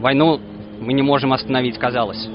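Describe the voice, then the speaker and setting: There is noticeable background noise behind this recording. A man speaks at a medium pitch. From Russia. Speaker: protest organiser. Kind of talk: speech at rally. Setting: outdoors.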